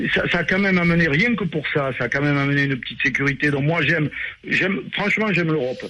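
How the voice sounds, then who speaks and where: Amid noticeable background noise, a man speaks at a very fast pace with fairly high pitch and very even loudness. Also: ordinary pitch variation. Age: 60s. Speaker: radio caller. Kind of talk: casual call-in chat.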